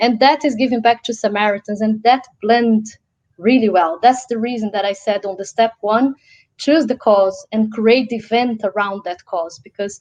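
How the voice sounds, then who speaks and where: A woman with a Portuguese accent speaks at a fairly high pitch. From Brazil. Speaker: social enterprise founder, event speaker. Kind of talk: interview Q&A.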